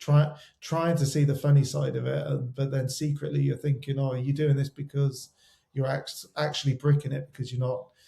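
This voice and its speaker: Fairly quick, monotone, flat speech from a man at fairly high pitch, somewhat breathy with a dark, mellow tone. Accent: West Country. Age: 40s. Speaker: wedding photographer. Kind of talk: interview conversation. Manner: halting, many repetitions.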